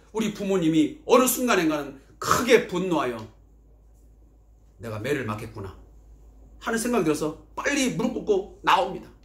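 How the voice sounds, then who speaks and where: A man talks at a moderate pace with very wide pitch swings. Room echo is audible. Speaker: pastor. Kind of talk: sermon.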